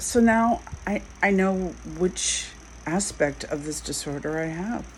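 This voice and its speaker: With noticeable noise in the background, the words come out at a very slow pace. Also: woman. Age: 60s. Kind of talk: casual vlog monologue. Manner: halting.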